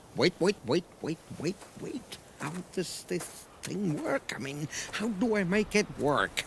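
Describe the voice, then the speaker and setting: In a cartoonish character voice with a high pitch, a man speaks at a fairly slow pace over clear background noise. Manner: gruff, exasperated.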